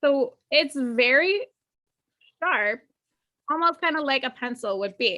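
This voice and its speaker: A woman with a high-pitched, bright and sharp voice projects loudly, her intonation lively and varied. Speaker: painting instructor. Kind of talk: tutorial. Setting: live video call. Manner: slow.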